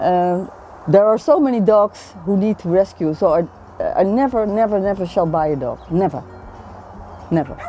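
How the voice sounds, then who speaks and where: A woman with a Dutch accent speaks at a moderate pace with lively intonation and long, frequent pauses while music plays in the background. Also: medium pitch for a woman. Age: 60s. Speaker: retired intensive care nurse. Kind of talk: interview answer.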